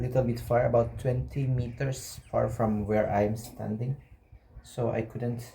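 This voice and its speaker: A man with a Filipino accent speaks at a fairly slow pace and medium pitch, with a dark, mellow, somewhat breathy tone, fairly even intonation and audible room echo. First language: Filipino language. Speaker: vlogger. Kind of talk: casual vlog narration. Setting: outdoors by the sea. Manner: halting, with fillers.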